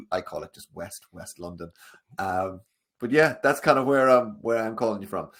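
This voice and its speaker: A man speaks with a strong Irish accent. His loudness swings widely. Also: medium pitch for a man, ordinary pitch variation. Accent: thick Irish. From Ireland. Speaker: sales coach. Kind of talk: webinar interview. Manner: fast when passionate.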